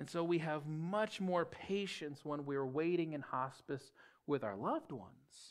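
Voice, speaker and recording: A man at a fairly slow pace, with ordinary pitch variation and a quiet background. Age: 30s. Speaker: pastor. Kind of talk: sermon. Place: church.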